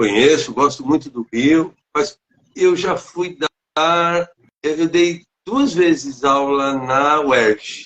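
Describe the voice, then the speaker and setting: This man talks at a very slow pace. His pitch is fairly high. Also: ordinary pitch variation. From São Paulo state, Brazil. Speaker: teacher and author. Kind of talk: interview. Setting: online live stream. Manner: halting.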